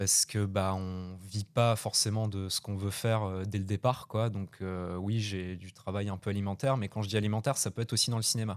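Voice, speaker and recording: On a very clean recording with a silent background, a man with a fairly low pitch talks at a fairly quick pace with fairly even intonation. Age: 20s. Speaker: young film director and actor. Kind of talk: radio interview. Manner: halting, many hesitations.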